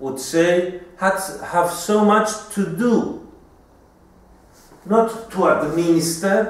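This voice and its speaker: A man with a Greek accent speaks at a very slow pace in a high pitch with ordinary pitch variation and long, frequent pauses. Noticeable background noise and audible room echo are present. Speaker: homeopathy doctor and teacher. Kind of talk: lecture.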